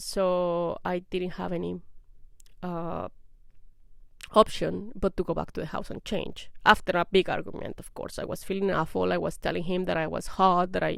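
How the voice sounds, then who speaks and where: A woman with a non-native accent speaks with big swings in loudness. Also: moderate pace. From outside English-speaking countries, moved abroad. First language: not English. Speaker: vlogger sharing personal experience. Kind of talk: personal testimony to camera. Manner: casual with hesitations.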